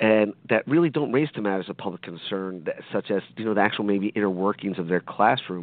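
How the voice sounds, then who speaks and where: Speaking at a fairly quick pace, a man with an American accent uses a normal speaking voice, fairly low in pitch, with lively intonation. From South Jersey (Hammonton area), US. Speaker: education lawyer. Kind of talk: radio interview.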